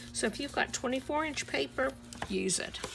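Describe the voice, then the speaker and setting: A woman with an American accent talks at a moderate pace, and noticeable background noise can be heard. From US South, Miami, Florida. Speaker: crafting YouTuber. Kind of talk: tutorial.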